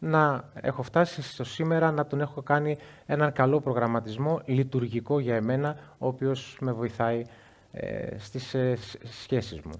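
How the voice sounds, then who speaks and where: A man speaks at a fairly slow pace in an unremarkable speaking voice, pitched in the medium range. The recording is very clean, with a silent background. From Greece, Igoumenitsa (Epirus). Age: 40s. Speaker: interview guest, coach. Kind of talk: live interview before an audience. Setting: stage with audience.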